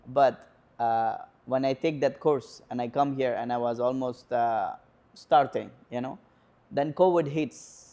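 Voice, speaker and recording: A man with an Indian accent speaks at a fairly slow pace with fairly even intonation. His tone is dark and mellow, broken by long, frequent pauses. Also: medium pitch for a man. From northern India, near Nepal. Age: 20s. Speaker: home care worker and student. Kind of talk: interview. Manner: hesitant, many fillers.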